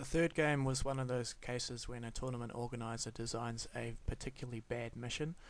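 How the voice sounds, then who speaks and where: A man with a normal speaking voice talks at a fairly quick pace and a medium pitch, with fairly even intonation and hardly any pauses. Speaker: tabletop wargame hobbyist. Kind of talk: hobby voice-over narration.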